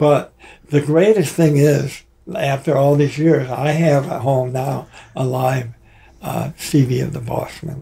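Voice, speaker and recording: With noticeable background noise, a man with an American accent and a fairly high pitch talks at a fairly slow pace with fairly even intonation. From Michigan. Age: 80s+. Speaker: rock drummer. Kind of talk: casual interview. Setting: studio. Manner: halting.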